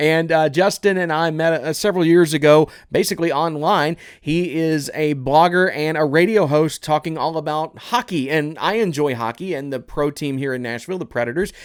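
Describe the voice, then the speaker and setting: A normal speaking voice from a man with fairly high pitch, ordinary pitch variation, a moderate pace and hardly any pauses, in a very clean recording with a silent background. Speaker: podcast host, former radio host. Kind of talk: casual interview chat. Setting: video podcast recording.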